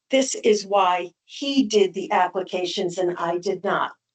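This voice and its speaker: A woman's ordinary speaking voice at a medium pitch. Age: 60s. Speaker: appellant property owner. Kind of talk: public hearing testimony. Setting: town board meeting.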